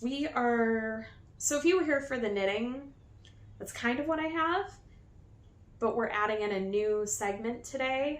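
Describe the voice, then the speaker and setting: A high-pitched woman at a fairly slow pace, lively in intonation, with long, frequent pauses and audible room echo. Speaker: knitting podcaster. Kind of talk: casual podcast chat. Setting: new filming location.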